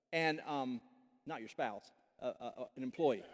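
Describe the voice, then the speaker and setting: Lively intonation runs through a man's speech at a moderate pace. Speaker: pastor. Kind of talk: sermon. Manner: loud.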